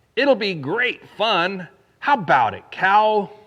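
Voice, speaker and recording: Using a put-on character voice, a man speaks at a high pitch. He delivers it at a fairly slow pace. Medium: read story. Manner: playful, persuasive.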